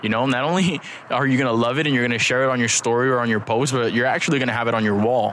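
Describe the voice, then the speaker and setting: Through noticeable background noise and audible room echo, a man speaks at a very fast pace and medium pitch, with fairly even intonation and very even loudness. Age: 20s. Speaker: podcast host, investor and entrepreneur. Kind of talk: casual interview chat.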